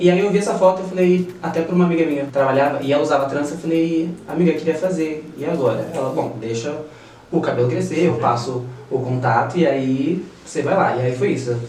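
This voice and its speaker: A man talks at a fairly quick pace, his pitch fairly high with ordinary variation. Noticeable background noise and audible room echo are present. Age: 30s. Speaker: braider and model. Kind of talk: interview.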